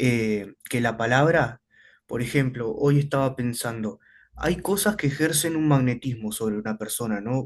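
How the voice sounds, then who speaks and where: A man talks at a medium pitch and a fairly slow pace. His pitch varies in an ordinary way. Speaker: student. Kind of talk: classroom question.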